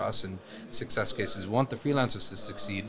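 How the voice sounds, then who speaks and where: Speaking at a very fast pace with ordinary pitch variation, a man is heard against noticeable background noise. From Lebanon. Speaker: events company founder. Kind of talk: interview. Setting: studio.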